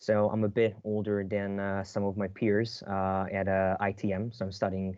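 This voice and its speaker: The delivery is flat and monotone, with hardly any pauses. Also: man. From Hungary, Budapest. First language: Hungarian. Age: 20s. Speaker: university student. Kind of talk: casual chat.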